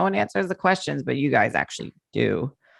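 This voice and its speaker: A woman's fairly quick speech with vocal fry. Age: 40s. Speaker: podcast host. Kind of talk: casual chat.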